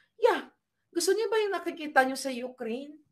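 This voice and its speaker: A woman's animated tone with very wide pitch swings. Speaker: political commentator. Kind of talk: impassioned online commentary. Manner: animated, emphatic.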